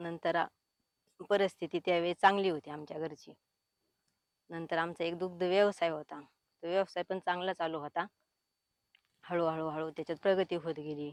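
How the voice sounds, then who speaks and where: Her intonation is monotone and flat, the woman's pitch fairly low. The sound is dry and close, with no echo. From Maharashtra, Pune district. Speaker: farmer. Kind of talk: testimony.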